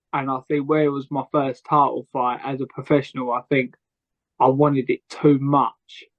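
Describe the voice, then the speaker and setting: A man speaks in a fairly high pitch with monotone, flat intonation. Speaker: professional boxer. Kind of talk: interview. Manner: stuttering, halting.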